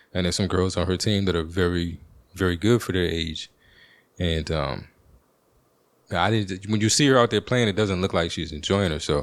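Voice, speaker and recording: On a very clean recording with a silent background, a man with an American accent and a very deep, low pitch speaks at a moderate pace with long, frequent pauses. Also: ordinary pitch variation. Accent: Baltimore accent, as heard by another person. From Washington, DC. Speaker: podcast host. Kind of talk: casual monologue.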